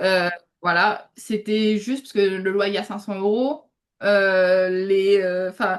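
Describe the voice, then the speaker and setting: A woman at medium pitch and a very slow pace, with fairly even intonation and big swings in loudness. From Réunion. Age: 20s. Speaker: UGC content creator, student. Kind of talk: interview. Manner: hesitant, many fillers.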